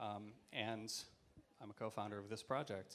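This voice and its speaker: A man with an American accent. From US, Seattle. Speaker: theatre producer and activist. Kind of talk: panel talk. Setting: stage with audience.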